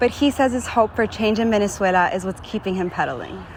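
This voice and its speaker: A woman talks fairly quickly with an American accent and ordinary pitch variation. Noticeable background noise is present. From Miami, Florida, US. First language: English and Spanish (bilingual). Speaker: broadcast journalist / reporter. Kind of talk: TV news reporter delivery.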